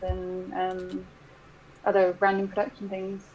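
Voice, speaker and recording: A woman speaks with a British accent at a fairly slow pace. Noticeable background noise runs behind her. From Britain. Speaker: translator and graphic designer. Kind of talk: casual livestream chat. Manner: animated.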